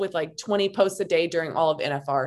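A woman with an American accent talks at a very fast pace and a fairly low pitch. The recording is very clean, with a silent background. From Montana. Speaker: branding coach and podcaster. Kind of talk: casual chat.

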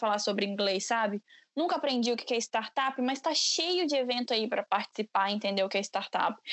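A woman's high pitch and lively intonation at a fairly quick pace. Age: 20s. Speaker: entrepreneur, founder of a women's career initiative. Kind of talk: podcast interview.

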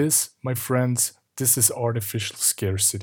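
With a Swiss German accent, a man talks at a moderate pace in a somewhat breathy voice with fairly even intonation, recorded very cleanly against a silent background. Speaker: podcast host, marketing. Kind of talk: solo podcast monologue, explainer.

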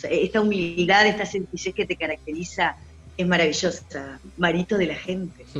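A woman speaks at a fairly low pitch. Music plays in the background. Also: moderate pace. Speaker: radio host. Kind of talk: casual chat. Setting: video call. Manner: animated.

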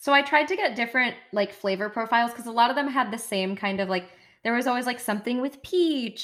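A woman's very fast, fairly high-pitched voice with an American accent and lively intonation. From United States. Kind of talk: casual chat.

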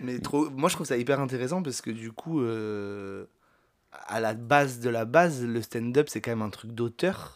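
In a very clean recording with a silent background, a man speaks at a medium pitch and a fairly slow pace with ordinary pitch variation. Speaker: podcast host. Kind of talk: casual chat. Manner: loud.

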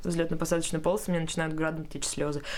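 Noticeable background noise under a woman speaking at a fairly low pitch. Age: 20s. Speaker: young mother sharing her story. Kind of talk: casual chat. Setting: studio.

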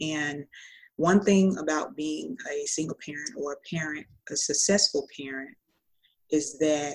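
The speaker has an American accent and a fairly slow pace. Pitch variation is ordinary. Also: woman. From Florida. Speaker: voiceover artist and single mom. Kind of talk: interview.

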